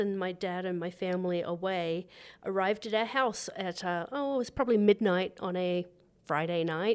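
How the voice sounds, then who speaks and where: On a very clean recording with a silent background, a woman with an Australian accent talks at a moderate pace in a warm tone, with medium pitch and ordinary pitch variation. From Australia, New South Wales. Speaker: resort food and beverage director, chef. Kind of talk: casual interview. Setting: at ski resort lodge. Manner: warm, laughs often.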